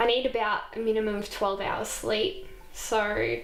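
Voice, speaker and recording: Someone with an Australian accent speaks amid audible room echo, with music in the background. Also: woman. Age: 20s. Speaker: nursing student. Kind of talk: documentary interview.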